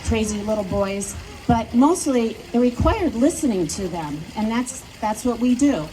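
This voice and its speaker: Noticeable background noise surrounds this recording. A woman speaks in a fairly high pitch. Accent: American. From US Midwest, Wisconsin. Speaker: local politician. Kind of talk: campaign speech. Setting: outdoors at plaza with audience.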